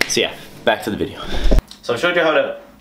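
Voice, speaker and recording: Against noticeable background noise and audible room echo, a man is speaking. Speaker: fitness vlogger. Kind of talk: tutorial. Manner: fast.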